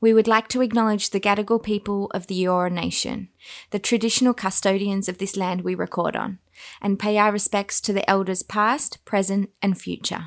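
A woman's medium-pitched, flat, monotone voice at a moderate pace, dry and close with no echo. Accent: Australian. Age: 30s. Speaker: podcast co-host. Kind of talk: casual chat. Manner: talkative.

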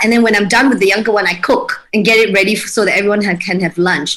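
A woman talks at a medium pitch with ordinary pitch variation. Noticeable background noise runs under her voice. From Malaysia, Kuching (Sarawak). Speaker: home baker and mother. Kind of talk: casual interview.

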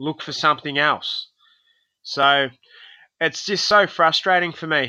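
At a fairly slow pace, the speaker uses an Australian accent and a bright, sharp tone, with fairly even intonation, big swings in loudness, and a very clean recording with a silent background. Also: man, fairly high pitch for a man. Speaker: professional boxer. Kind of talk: casual chat.

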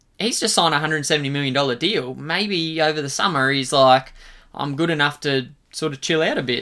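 The pace is very fast. The speaker has an Australian accent. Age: 20s. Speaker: sports podcast co-host. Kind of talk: casual chat.

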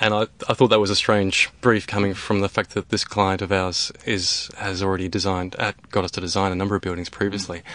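Fairly quick, monotone speech with flat intonation in an Australian accent, with hardly any pauses. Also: man, fairly low pitch for a man. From Australia, rural North West Tasmania. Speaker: architect. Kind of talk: interview. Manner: hesitant, many fillers.

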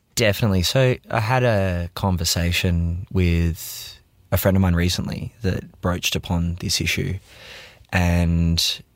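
A man with a very deep, low pitch speaks fairly slowly in a very clean recording with a silent background, the sound dry and close with no echo. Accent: Australian. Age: 30s. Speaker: video producer. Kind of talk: interview.

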